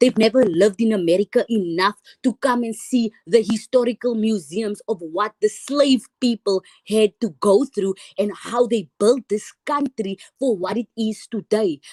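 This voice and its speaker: In a South African accent, a woman talks at a moderate pace with a fairly high pitch and an animated tone, in a dry, close sound with no echo. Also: ordinary pitch variation. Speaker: panel guest in a live stream. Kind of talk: live stream discussion. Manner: halting.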